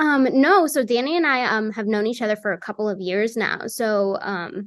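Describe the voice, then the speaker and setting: Lively intonation carries the speech at a moderate pace over a quiet background. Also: woman, fairly high pitch for a woman. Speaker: voice actress. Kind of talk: interview. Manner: animated; filler-heavy, casual.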